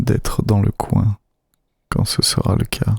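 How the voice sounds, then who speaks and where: The speaker whispers in a soft-spoken way. The sound is dry and close, with no echo. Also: man. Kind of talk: casual talk to camera. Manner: whispered, soft-spoken.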